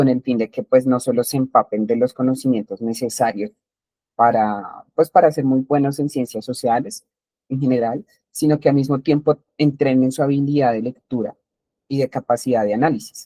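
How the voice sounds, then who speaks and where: This man speaks in a dark, mellow tone, recorded with a dry, close sound and no echo. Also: medium pitch for a man, ordinary pitch variation, moderate pace. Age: 20s. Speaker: teacher. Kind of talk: lecture. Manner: halting, with many fillers.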